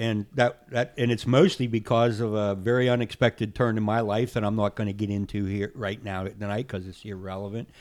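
In a very clean recording with a silent background, a man with an American accent and a plain, everyday voice talks at a fairly quick pace with hardly any pauses, in a fairly low pitch with fairly even intonation. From central Pennsylvania. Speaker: fly tyer. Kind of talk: casual interview. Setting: studio.

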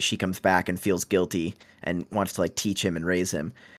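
A man with an ordinary speaking voice talks at a moderate pace with fairly even intonation, recorded very cleanly over a silent background. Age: 20s. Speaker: book podcast guest. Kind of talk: casual chat.

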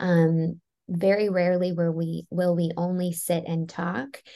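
Against a quiet background, a woman talks with an American accent. Her voice is fairly low in pitch, with a dark, mellow tone. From US Northeast, Maryland. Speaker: therapist and author. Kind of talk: interview.

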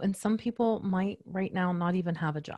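A woman speaks at a moderate pace in a somewhat breathy, medium-pitched voice, recorded dry and close with no echo against a quiet background. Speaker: podcast host and business coach. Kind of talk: interview.

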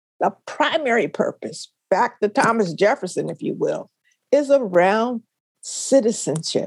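Her voice swings very widely in pitch and carries vocal fry, with a dry, close sound and no echo. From US, Philadelphia (West Philly). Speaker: retired education professor. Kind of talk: interview.

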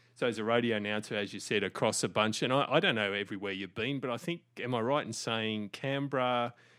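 A very fast man's voice at medium pitch with an Australian accent, on a very clean recording with a silent background. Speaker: podcast host.

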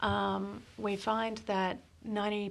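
With an Australian accent, a woman speaks at medium pitch with fairly even intonation. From Sydney, Australia. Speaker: operations and projects director at a power company. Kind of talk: casual interview chat.

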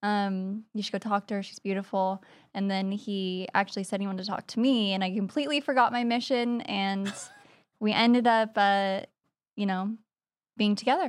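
With a normal speaking voice, a woman talks at a medium pitch and a moderate pace with fairly even intonation on a very clean recording with a silent background. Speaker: real estate investor. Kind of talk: casual interview chat.

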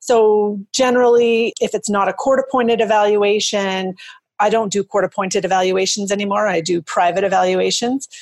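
A woman with a Canadian accent has an unremarkable speaking voice at medium pitch, speaking at a moderate pace with fairly even intonation. Her loudness stays very even, and the recording is very clean with a silent background. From Canada. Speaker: forensic psychologist. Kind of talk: expert interview.

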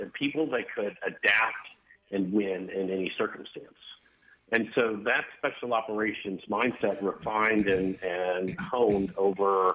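An ordinary speaking voice belongs to this man with an American accent, who talks fairly slowly at a fairly low pitch with ordinary pitch variation. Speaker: military veteran and corporate recruiting executive. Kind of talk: interview.

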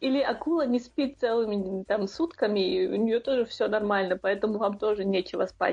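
A woman talks at a moderate pace in a plain, everyday voice. Her pitch is fairly high. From Chechnya, Shatoy. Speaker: podcast co-host. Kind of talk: casual chat.

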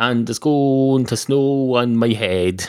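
A man talks at a very slow pace in an Irish accent. His voice has a dark, mellow tone at medium pitch. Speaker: podcaster. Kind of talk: comedic monologue. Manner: rambling with frequent fillers.

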